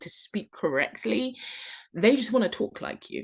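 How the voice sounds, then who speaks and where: Over a quiet background, a woman with a British accent speaks at a moderate pace with vocal fry. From London, England. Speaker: online English teacher and travel vlogger. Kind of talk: tutorial. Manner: casual, conversational with fillers.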